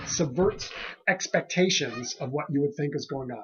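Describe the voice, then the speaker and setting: Lively in intonation, a man's voice sounds somewhat breathy. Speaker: pastor. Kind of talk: casual sermon commentary podcast. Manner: relaxed, many fillers and hesitations.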